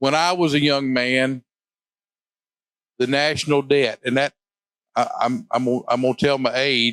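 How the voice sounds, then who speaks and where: With an Arkansas accent, a man talks at medium pitch and with fairly even intonation. The sound is dry and close, with no echo. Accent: Southern US (Arkansas). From US South, southern Arkansas. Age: 60s. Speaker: state legislator. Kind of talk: interview. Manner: halting, repeats words.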